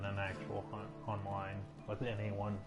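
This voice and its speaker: Quiet and at a moderate pace, a man with a fairly low pitch talks while music plays in the background. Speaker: gamer streamer. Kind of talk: casual gameplay commentary. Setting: earbud microphone.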